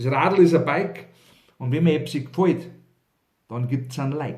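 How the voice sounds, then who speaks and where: With ordinary pitch variation, a man's voice sounds somewhat breathy. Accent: Bavarian. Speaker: cabaret artist and author. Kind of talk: humorous dialect poetry reading.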